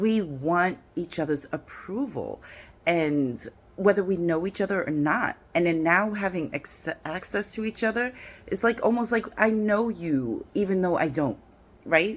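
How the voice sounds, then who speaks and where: A woman with a New York accent speaks in an animated tone at a medium pitch. Her intonation is lively and her pace fairly slow. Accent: New York twang. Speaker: dating and relationship vlogger. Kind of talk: casual vlog monologue. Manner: animated, conversational with fillers.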